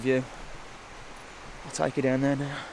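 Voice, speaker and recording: A man's medium-pitched voice with a West Midlands accent, relaxed in tone, with monotone, flat intonation. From West Midlands, England. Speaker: bushcraft vlogger. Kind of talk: casual walkthrough vlog. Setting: outdoors in a forest. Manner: relaxed, casual.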